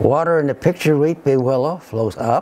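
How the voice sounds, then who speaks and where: A man's fairly high voice shows lively intonation against noticeable background noise. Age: 80s+. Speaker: retired engineer and scientist. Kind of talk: scripted presentation. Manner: formal.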